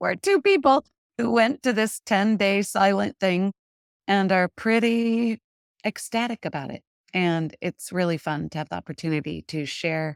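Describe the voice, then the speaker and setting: In an unremarkable speaking voice, a woman talks at a moderate pace and medium pitch, with ordinary pitch variation. The sound is dry and close with no echo, and the recording is very clean, with a silent background. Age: 60s. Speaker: wellness coach. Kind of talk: casual interview.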